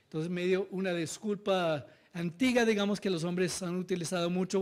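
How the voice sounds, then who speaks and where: A man with a non-native accent speaks at a moderate pace in a high pitch. The recording is very clean, with a silent background. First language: not Spanish (speaking Spanish). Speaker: NGO director and researcher presenting study findings. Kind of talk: conference presentation. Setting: seminar with live audience. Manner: halting, with frequent fillers and self-corrections.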